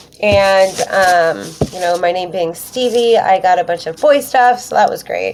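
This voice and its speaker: A woman with a Pacific Northwest accent speaks over noticeable background noise. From US Pacific Northwest (Western Washington). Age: 30s. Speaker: YouTuber, witch. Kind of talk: personal vlog storytelling. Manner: casual, many fillers (um).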